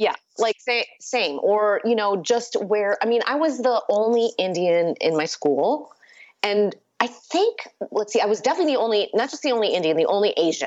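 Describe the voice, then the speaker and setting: A woman with an American accent speaks at a moderate pace. Her fairly high voice has lively intonation. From US Midwest, Chicago suburbs (Batavia). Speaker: author. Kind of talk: casual chat.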